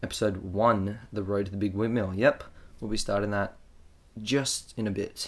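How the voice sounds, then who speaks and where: A man talks at a moderate pace with an Australian accent. His fairly low voice stays monotone and flat. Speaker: video game commentator. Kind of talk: gameplay commentary. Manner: casual, rambling with fillers.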